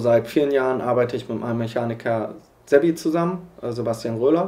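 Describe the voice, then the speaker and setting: A man speaks with ordinary pitch variation. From western Germany, Iserlohn (Sauerland). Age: 20s. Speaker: motorcycle racer. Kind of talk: documentary interview. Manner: hesitant, many fillers.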